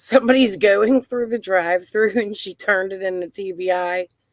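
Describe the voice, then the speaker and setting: In a Pittsburgh accent, a woman speaks at a fairly slow pace with a medium pitch. Her tone is animated and her intonation lively. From Pittsburgh area, US. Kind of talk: live stream discussion.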